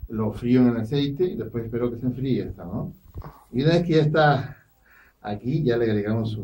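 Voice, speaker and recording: Somewhat breathy and dark, mellow in tone, a man talks at a fairly quick pace with ordinary pitch variation. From Peru. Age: middle-aged. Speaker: chef and restaurant owner; guest. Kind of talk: radio interview with cooking demonstration. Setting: radio studio. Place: studio. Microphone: studio mic.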